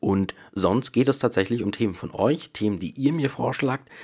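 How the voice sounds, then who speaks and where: A normal speaking voice, a moderate pace and ordinary pitch variation mark this man's speech in a very clean recording with a silent background. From Bavaria, Munich area. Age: 20s. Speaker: podcaster and YouTuber. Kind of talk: casual solo podcast monologue. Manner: casual, with many fillers.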